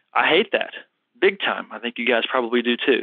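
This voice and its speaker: Fairly quick talk from a man in a normal speaking voice, pitched at a medium level. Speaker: health coach and show host. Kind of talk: live call-in Q&A. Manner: casual, relaxed.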